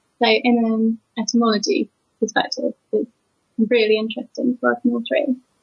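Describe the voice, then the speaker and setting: Moderate pace with a British accent. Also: woman. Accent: English (UK). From England. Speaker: proofreader and editor. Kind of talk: interview.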